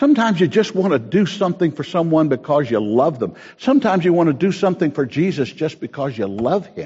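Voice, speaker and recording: The speech runs at a very fast pace with hardly any pauses and very wide pitch swings. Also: man, high pitch for a man. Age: 70s. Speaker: pastor. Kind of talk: sermon.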